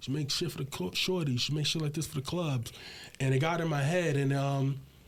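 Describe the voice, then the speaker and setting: A man talking very fast, with a fairly high pitch and a somewhat breathy sound. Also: fairly even intonation. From Brooklyn, New York (Bed-Stuy, Fort Greene). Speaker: hip hop producer. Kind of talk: casual interview.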